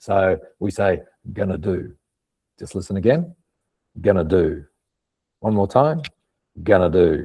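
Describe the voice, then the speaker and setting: Very deep, low-pitched man's voice with an Australian accent and a dark, mellow tone, very slow with long, frequent pauses and lively intonation. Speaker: English teacher. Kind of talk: pronunciation lesson. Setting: online webinar. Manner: slow, repeating phrases clearly.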